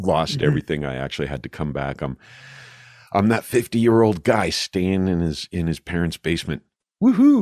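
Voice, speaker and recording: A man's very deep, low voice with lively intonation, the sound dry and close with no echo. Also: moderate pace. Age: 50s. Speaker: podcast host; radio broadcaster and voiceover artist. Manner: casual, conversational.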